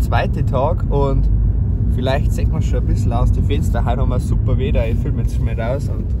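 A man talks at a fairly quick pace. The sound is dry with no echo, but the background noise is loud. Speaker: vlogger. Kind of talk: casual vlog chat.

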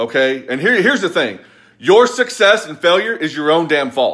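With an American accent, a man speaks at a moderate pace and high pitch, swinging very widely in pitch, with a bright, sharp tone over a quiet background. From US South, Kentucky. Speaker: motivational business coach. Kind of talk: angry motivational rant, scolding viewers with blunt tough love and sarcasm. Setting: live video on social media. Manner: forceful, emphatic, repeating 'quit blaming' in hammering staccato; sarcastic, mocking whiny voices. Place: home room. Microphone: phone near.

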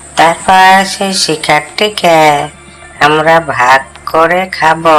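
A cartoonish character voice at a middle pitch crawls along at a very slow pace over clear background noise. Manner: wheedling, sly.

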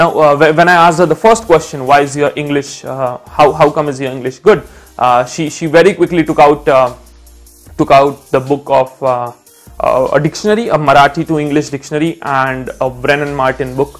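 Faint music plays in the background. The speech moves at a moderate pace with ordinary pitch variation. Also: man. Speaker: educator. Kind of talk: lecture with anecdote. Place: home room. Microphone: lapel.

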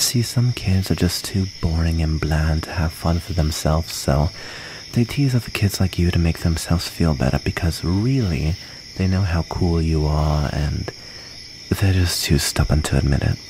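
Against noticeable background noise, a man with a very deep, low pitch talks in a gentle tone, the sound dry with no echo. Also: ordinary pitch variation. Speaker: ASMR roleplay performer. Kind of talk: ASMR roleplay, soothing in-character comfort storytelling. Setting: close-mic ASMR recording. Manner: soft, gentle and intimate, slow and tender; wistful, halting and vulnerable while recounting being bullied. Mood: gentle, comforting, playful. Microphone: studio mic.

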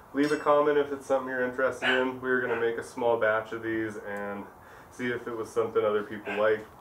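A man at a very fast pace with fairly even intonation, plus light background noise and audible room echo. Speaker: glassblower demonstrating tools. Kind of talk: tutorial. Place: shop.

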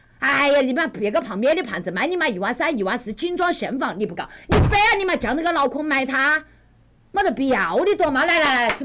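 A woman with a Wuhan accent talks at a very fast pace in a high pitch with very wide pitch swings. Noticeable background noise is present. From Wuhan, China. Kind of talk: livestream real-estate advice. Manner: brash, fast, heavy swearing.

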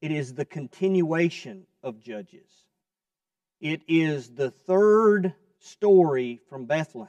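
With a Southern US accent, the speaker talks at a very slow pace with big swings in loudness, the sound dry with no echo over a quiet background. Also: man, fairly high pitch for a man. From US South, Kentucky. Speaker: preacher. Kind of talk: sermon. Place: church. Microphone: lapel.

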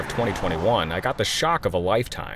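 Lively intonation marks this man's fairly low voice, spoken with an American accent. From US Midwest. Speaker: meteorologist and storm chaser. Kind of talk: scripted narration.

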